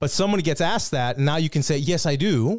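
A man speaks fairly quickly with ordinary pitch variation against a quiet background. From Mexico, raised in US from age six. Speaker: podcast host, notary business owner; podcast host. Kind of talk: casual interview. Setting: studio. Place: home room. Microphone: studio mic.

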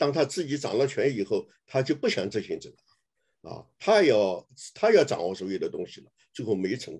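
A man talks at a moderate pace in a fairly high pitch. His voice shows very wide pitch swings and big swings in loudness. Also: quiet background. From China. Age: 80s+. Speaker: writer. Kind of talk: casual talk. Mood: earnest, opinionated. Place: home room. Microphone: video call.

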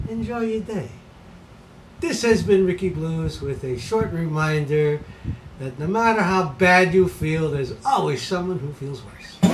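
Over light background noise, a man speaks at a fairly slow pace with big swings in loudness. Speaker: vlogger in blues persona. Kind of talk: casual vlog chat. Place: home room. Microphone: webcam.

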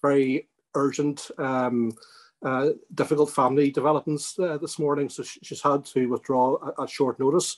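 A man with a Northern Irish accent, fairly high-pitched and monotone, at a moderate pace with big swings in loudness against a quiet background. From Northern Ireland. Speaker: politician. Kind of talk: webinar address. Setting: webinar. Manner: halting, many ums and ers. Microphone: video call.

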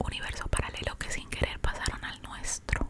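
A woman whispers in a playful tone. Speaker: ASMR content creator. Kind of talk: casual ASMR talk to camera, eating and storytelling. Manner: soft, whispered, playful and chatty. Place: home room. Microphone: studio mic.

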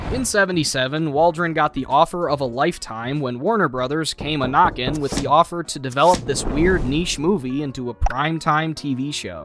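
A man talks at a fairly quick pace with hardly any pauses and ordinary pitch variation. Music plays in the background, and the sound is dry with no echo. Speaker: video reviewer narrator. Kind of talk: commentary.

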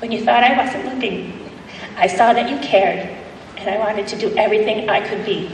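A woman at a moderate pace with fairly even intonation, amid light background noise and audible room echo. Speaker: speaker. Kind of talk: ceremonial speech. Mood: warm, solemn. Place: hall. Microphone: camera far.

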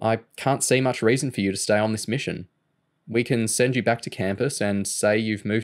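The clip is plain reading aloud. The background is quiet.

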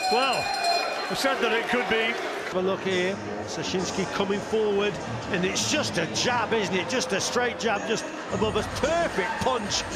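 Loud background noise runs under speech delivered at a moderate pace. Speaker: boxing commentator. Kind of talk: live boxing commentary. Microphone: headset.

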